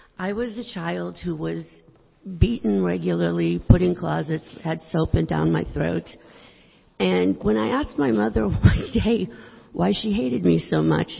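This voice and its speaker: Noticeable background noise sits under this recording. A woman talks at a moderate pace. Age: 60s. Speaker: congregation member sharing testimony. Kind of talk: testimony. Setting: church.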